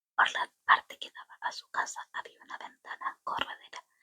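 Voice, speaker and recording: A woman whispers at a moderate pace. The sound is dry and close, with no echo. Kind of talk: audiobook-style reading of a novel aloud. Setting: home-recorded, casual setup. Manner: soft-spoken, whispered.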